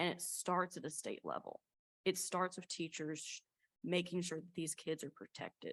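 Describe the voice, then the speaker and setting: With a slight Appalachian accent, a woman speaks in a fairly low pitch at a moderate pace. Her intonation is monotone and flat, and the sound is dry and close with no echo. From US South, East Tennessee Appalachia. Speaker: college student panelist. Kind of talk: panel discussion.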